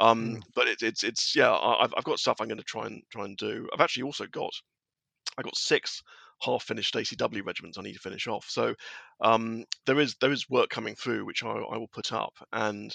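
A man with a southern English accent speaks at a fairly quick pace, sounding dry and close with no echo over a quiet background. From southern England. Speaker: wargaming blogger. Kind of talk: casual chat.

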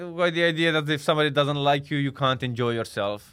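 A man speaks at a fairly quick pace with a Romanian accent. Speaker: comedian. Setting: studio.

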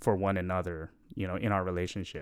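The man's voice comes through a very clean recording, its background silent. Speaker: guest, longtime friend and musician. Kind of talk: casual chat.

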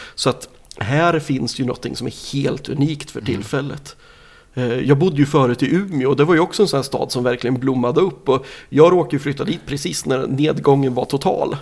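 A man with a plain, everyday voice and a fairly high pitch speaks at a moderate pace. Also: ordinary pitch variation. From Sweden, Nyköping. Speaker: record label owner. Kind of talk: interview. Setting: in person, Norrköping.

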